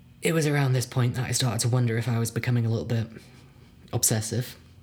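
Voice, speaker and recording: A man's somewhat breathy voice sits at medium pitch. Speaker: horror story narrator. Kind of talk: dramatic narration. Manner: suspenseful, hushed, building dread; measured pacing with wry, halting pauses.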